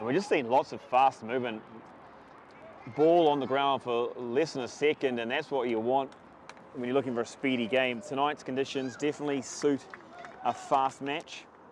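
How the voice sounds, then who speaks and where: Noticeable background noise runs under a man speaking at a moderate pace with long, frequent pauses. His pitch is medium and his intonation fairly even. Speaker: rugby commentator. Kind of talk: live commentary. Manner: loud, carrying voice.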